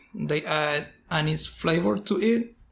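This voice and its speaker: A man speaks at a very slow pace in a Puerto Rican accent. His pitch varies in an ordinary way. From Puerto Rico. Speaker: distillery owner. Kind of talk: casual interview. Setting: on location at a distillery.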